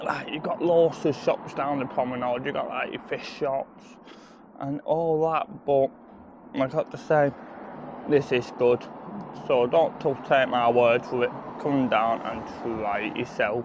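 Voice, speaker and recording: Amid noticeable background noise, a man speaks at a fairly slow pace with fairly even intonation and long, frequent pauses, in a dry sound with no echo. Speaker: food vlogger. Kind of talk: casual vlog chat. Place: street. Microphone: phone near.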